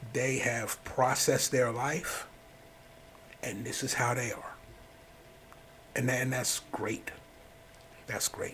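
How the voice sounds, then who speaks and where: Very slow and full of long, frequent pauses, a man talks in a monotone, flat intonation. His pitch is medium, and noticeable background noise is audible. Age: 60s. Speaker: life coach podcaster. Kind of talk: personal monologue.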